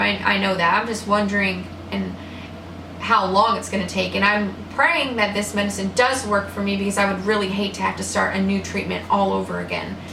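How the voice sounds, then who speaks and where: A woman talks at a fairly quick pace, with audible room echo and noticeable background noise around her. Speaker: vlogger with multiple sclerosis. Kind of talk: personal video diary. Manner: halting.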